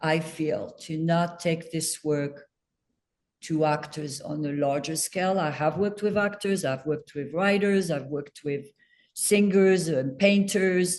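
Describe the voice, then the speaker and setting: Speech comes at a fairly slow pace. It is delivered in a French accent. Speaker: acting coach. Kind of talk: casual chat.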